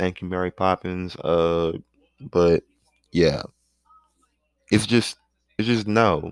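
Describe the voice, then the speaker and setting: A man's very deep, low voice with ordinary pitch variation, a very slow pace and long, frequent pauses. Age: 20s. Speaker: podcast host. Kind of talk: casual rant monologue. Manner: animated.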